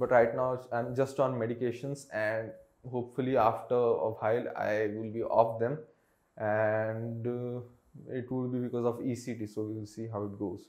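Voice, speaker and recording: With monotone, flat intonation, a man speaks at a moderate pace over a quiet background. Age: 20s. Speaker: vlogger. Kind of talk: unscripted personal monologue. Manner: halting, many fillers. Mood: candid, reflective, sometimes subdued. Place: home room. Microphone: lapel.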